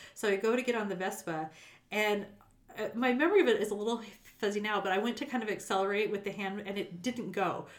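A woman speaks very fast at a medium pitch, with ordinary pitch variation and a Western US accent. Her speech is broken by long, frequent pauses. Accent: General American (western US). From Las Vegas, Nevada. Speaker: accountant / nonprofit finance executive. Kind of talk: casual chat.

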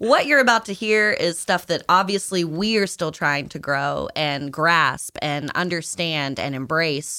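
A woman with an ordinary speaking voice and an American accent talks at a fairly slow pace with hardly any pauses, her pitch fairly low and her intonation lively. The recording is very clean, with a silent background. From Virginia, US South. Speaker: podcast co-host, musician. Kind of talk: casual chat.

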